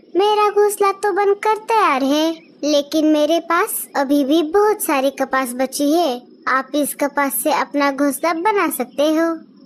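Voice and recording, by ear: This cartoonish character voice moves at a fairly slow pace with lively intonation. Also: woman, high pitch for a woman.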